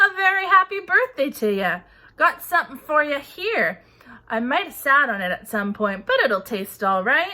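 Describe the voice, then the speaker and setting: A woman's high, put-on character voice with very wide pitch swings. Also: moderate pace. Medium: read story. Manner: rough, blunt, ungrammatical speech.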